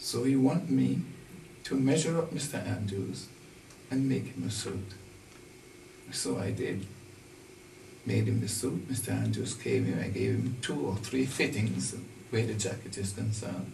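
Light background noise and audible room echo surround a man speaking at a fairly slow pace in a fairly low pitch, with long, frequent pauses and very wide pitch swings. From Caribbean, St. Kitts. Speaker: retired tailor. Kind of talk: oral history interview. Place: shop.

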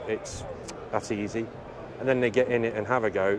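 With noticeable background noise in a dry, echo-free recording, a man talks fairly quickly at a fairly low pitch in a flat monotone. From Cornwall, England. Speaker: racing driver and army veteran. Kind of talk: interview. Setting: motorsport trade show. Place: hall.

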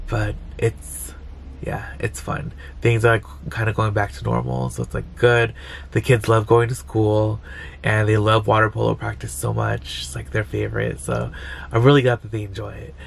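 Against light background noise, a man with a very deep, low pitch talks at a moderate pace with very wide pitch swings. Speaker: vlogger. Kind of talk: casual vlog chat. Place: car. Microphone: phone near.

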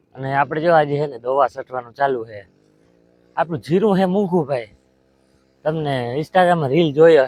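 Music plays in the background as a man speaks. His pitch is fairly high, with ordinary variation. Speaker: village vlogger and farmer. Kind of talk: casual vlog.

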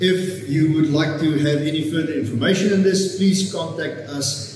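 A slightly mellow tone with audible room echo. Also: man.

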